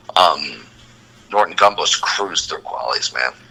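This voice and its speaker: A man talks at a moderate speed. Noticeable noise can be heard behind him. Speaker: tennis podcast host. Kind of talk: casual chat. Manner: animated.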